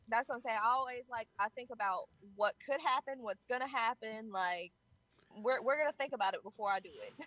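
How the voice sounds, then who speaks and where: Dry and close with no echo, a woman's high, bright, sharp voice moves at a fairly quick pace with ordinary pitch variation. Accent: Southern US. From Georgia, US South. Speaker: rapper. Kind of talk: interview.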